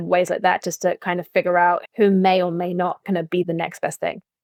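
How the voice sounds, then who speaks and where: In a British accent, a woman talks at a very fast pace with a medium pitch and monotone, flat intonation, in a dry, close sound with no echo. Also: hardly any pauses. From England, London. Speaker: branding agent and talent manager. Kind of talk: podcast interview. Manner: casual, with fillers.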